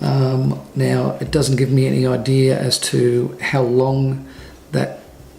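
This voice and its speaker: A man with an Australian accent, light background noise behind him. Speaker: photographer vlogger; family vlogger. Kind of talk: casual vlog. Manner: soft-spoken. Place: home room. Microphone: phone near.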